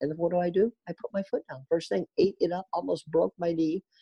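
Speaking at a fairly quick pace, the man has a high pitch. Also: hardly any pauses. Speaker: retired ATV motocross champion. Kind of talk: interview. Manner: halting.

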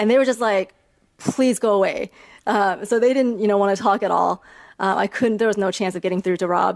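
A woman with an American accent and an unremarkable speaking voice talks at a fairly quick pace, at medium pitch, with fairly even intonation and very even loudness. The recording is very clean, with a silent background. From China and the US. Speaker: ETF founder. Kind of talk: interview.

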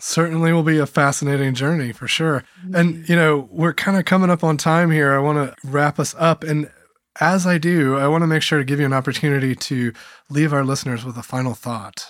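In a very clean recording with a silent background, a man uses a normal speaking voice at a fairly high pitch and a fairly quick pace with fairly even intonation. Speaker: podcast host and meeting facilitator. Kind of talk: interview conversation.

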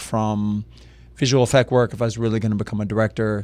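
This is a man speaking. He has an American accent. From US South, Lafayette, Louisiana. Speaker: film director and professor. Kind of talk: casual interview. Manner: animated.

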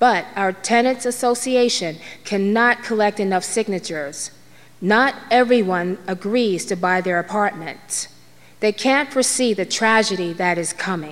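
A woman with an American accent, medium in pitch, at a fairly slow pace with ordinary pitch variation, over noticeable background noise. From Harlem, New York City. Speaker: storyteller. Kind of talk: storytelling monologue. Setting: stage with audience.

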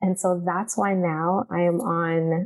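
A woman at medium pitch with a dark, mellow tone, in a dry, close sound with no echo. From Canada, Toronto. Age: 40s. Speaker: personal trainer and nutritionist. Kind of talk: interview conversation.

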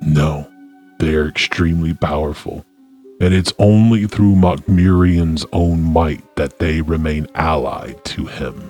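Putting on a character voice, a man speaks at a fairly slow pace with a very deep, low pitch while faint music plays in the background. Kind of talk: fantasy roleplay. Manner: solemn, grave, formal.

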